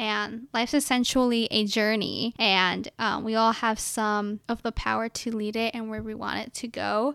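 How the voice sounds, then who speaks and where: At a moderate pace with hardly any pauses, a woman speaks at a fairly high pitch in a dry, close sound with no echo. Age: 20s. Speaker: podcast host, college student. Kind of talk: casual solo podcast chat. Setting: home recording with microphone and headphones. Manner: loud.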